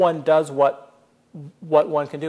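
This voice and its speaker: A man with an American accent at a moderate pace. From California. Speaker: author. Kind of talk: audience Q&A. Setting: stage with audience. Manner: halting.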